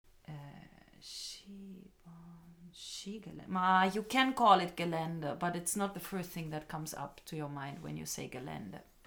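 A woman's fairly low-pitched voice at a very slow pace, with big swings in loudness. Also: ordinary pitch variation. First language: German (speaking Japanese). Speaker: English school owner and teacher. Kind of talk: casual chat.

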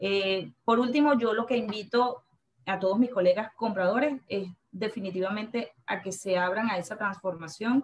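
A woman's fairly high voice with a Venezuelan accent and ordinary pitch variation. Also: moderate pace. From Venezuela, Valencia. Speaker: purchasing manager. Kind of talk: interview.

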